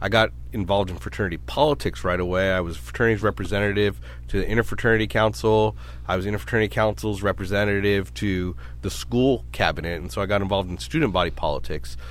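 A man with a very deep, low voice and vocal fry talks at a very fast pace. His pitch swings very widely. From Brooklyn, New York; raised in Sacramento, California. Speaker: medical society CEO, former legislative staffer. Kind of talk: interview.

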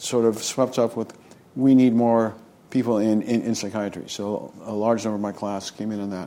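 A man with an American accent speaks in a normal speaking voice at medium pitch, moderate pace, and ordinary pitch variation. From US West Coast, San Francisco Bay Area. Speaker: physician and health policy professor. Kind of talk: interview.

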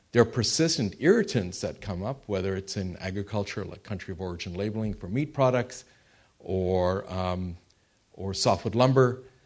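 Here is a man with an unremarkable speaking voice and a fairly low pitch. He keeps a moderate pace, with ordinary pitch variation and big swings in loudness. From Canada. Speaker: former diplomat, institute president. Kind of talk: panel discussion talk.

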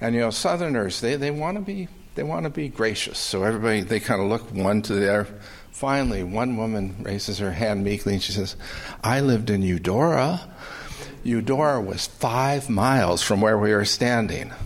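Over noticeable background noise, a man talks at a moderate pace, his medium pitch showing ordinary variation. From California. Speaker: audience questioner. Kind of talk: audience question.

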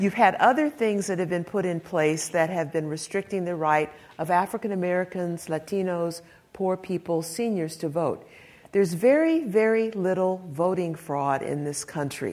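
A woman with a plain, everyday voice speaks at a moderate pace, her fairly low pitch showing ordinary variation. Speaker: civil rights lawyer. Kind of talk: panel talk. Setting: live panel event.

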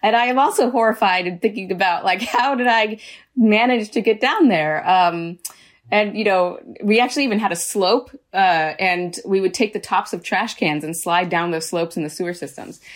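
An unremarkable speaking voice with an American accent and ordinary pitch variation comes through on a very clean recording with a silent background. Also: woman, medium pitch for a woman, moderate pace. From San Diego, California. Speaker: podcast host. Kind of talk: interview.

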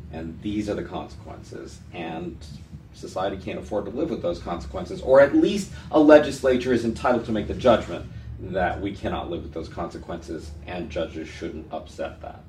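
A man with an American accent speaks at a moderate pace in a very deep, low voice, with very wide pitch swings and big swings in loudness. Music plays behind him, and the room echo is audible. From San Francisco, California. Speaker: interview host, law professor. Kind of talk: interview. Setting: office.

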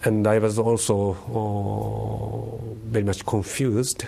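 A somewhat breathy man with a Japanese accent and a fairly low pitch. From Japan, Tokyo. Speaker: professor of religious studies. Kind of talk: interview. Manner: halting.

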